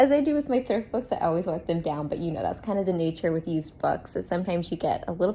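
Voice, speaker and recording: A somewhat breathy woman speaks at a very fast pace, her pitch swinging very widely. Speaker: book vlogger. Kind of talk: casual vlog talk to camera. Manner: speaking quietly.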